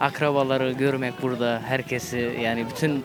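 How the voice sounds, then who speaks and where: A medium-pitched male voice over music in the background. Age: 20s. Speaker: groom. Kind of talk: short interview. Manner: hesitant, many fillers.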